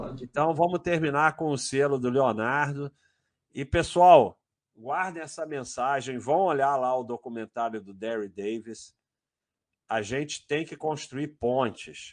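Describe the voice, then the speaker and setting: This man speaks at a fairly slow pace with a Brazilian accent. His medium-pitched voice sits over a quiet background. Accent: Brazilian accent in English words. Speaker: finance livestream host. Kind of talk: casual livestream chat. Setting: live stream.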